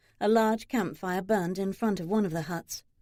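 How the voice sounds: The voice is a natural reading voice. It carries the text as read material.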